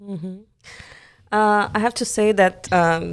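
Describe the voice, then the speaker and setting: A woman with a Brazilian accent, fairly slow delivery, ordinary pitch variation, on a very clean recording with a silent background. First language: Portuguese. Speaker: musical theatre performer. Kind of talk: interview conversation.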